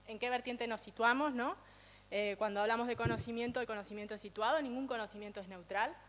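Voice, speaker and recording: At a very fast pace, a woman speaks in a fairly high voice with fairly even intonation. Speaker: speaker on feminist economics. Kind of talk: lecture.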